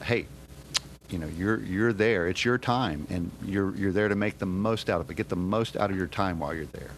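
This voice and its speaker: A man speaks in a normal speaking voice, pitched fairly low. His pace is moderate, with ordinary pitch variation. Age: 50s. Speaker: kung fu student. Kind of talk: casual chat.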